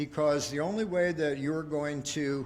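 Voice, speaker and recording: At a moderate pace and with ordinary pitch variation, a man talks in an ordinary speaking voice. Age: 60s. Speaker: business consultant. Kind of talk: pitch presentation.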